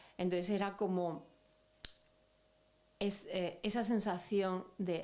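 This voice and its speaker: Audible room echo surrounds a woman speaking very slowly. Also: long, frequent pauses, very even loudness. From Andalusia, Spain (Almería). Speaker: activist. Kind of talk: interview. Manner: hesitant, reflective.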